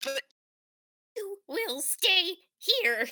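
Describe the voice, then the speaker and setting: Squeaky and extremely high, a woman's put-on character voice comes through. Her pitch swings very wide. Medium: read story. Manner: cold, commanding.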